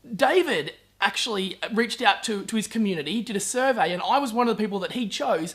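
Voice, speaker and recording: A man's high, enthusiastic voice at a very fast pace in an Australian accent, with ordinary pitch variation. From Brisbane, Australia. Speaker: podcast host, entrepreneur. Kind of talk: video intro and interview.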